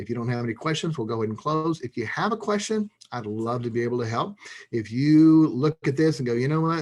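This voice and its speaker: A man's very fast delivery with lively intonation. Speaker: marriage coach. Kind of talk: webinar Q&A. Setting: online webinar.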